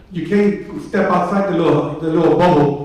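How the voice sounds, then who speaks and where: There is audible room echo and noticeable background noise as a man with an American accent talks at a fairly slow pace. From US South. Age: 60s. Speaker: mayoral candidate. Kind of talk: political forum answer. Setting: town hall with audience. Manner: conversational, repetitive fillers.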